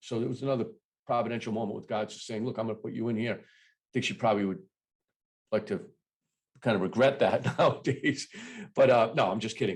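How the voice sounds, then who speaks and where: Talking very fast with long, frequent pauses, a man uses a medium pitch and fairly even intonation while his loudness swings a lot. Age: 60s. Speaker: business owner and ministry guest. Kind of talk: casual chat.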